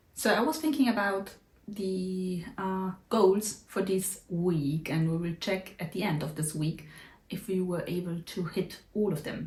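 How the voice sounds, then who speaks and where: A woman speaks fairly slowly at a medium pitch, her voice somewhat breathy. Her pitch varies in an ordinary way. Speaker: vlogger, YouTuber. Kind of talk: casual vlog update.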